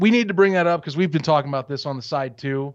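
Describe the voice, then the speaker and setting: A man with an unremarkable speaking voice, fairly high in pitch and lively in intonation, against a quiet background. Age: 20s. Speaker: sports podcast host. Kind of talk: casual chat. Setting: video call.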